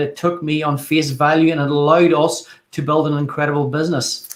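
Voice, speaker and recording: A man with an Irish accent races along at a very fast pace, his fairly high voice monotone and flat. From Ireland. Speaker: network marketer, former carpenter. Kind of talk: live video call testimony.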